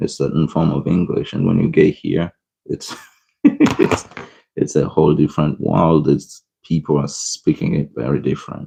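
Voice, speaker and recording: With a non-native accent, a man speaks fairly slowly in a very deep, low voice, his tone dark and mellow with vocal fry. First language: not English. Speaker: art streamer. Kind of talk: live-stream coloring tutorial with chat. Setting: live stream. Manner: casual, chatty.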